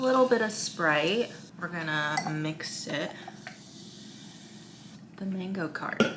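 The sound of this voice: Slow speech with a fairly bright tone, lively intonation and faint background noise. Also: woman, fairly low pitch for a woman.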